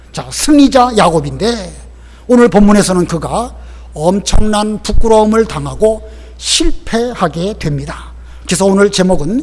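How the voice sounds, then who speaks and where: A man delivers his words fairly slowly, and noticeable background noise is present. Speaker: pastor. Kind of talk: sermon.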